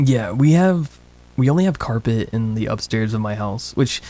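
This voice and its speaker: A soft-spoken man talks at a fairly slow pace. His voice is medium in pitch with a dark, mellow tone. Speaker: streamer and voice actor. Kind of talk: casual chat. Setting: home studio room for a livestream. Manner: quiet.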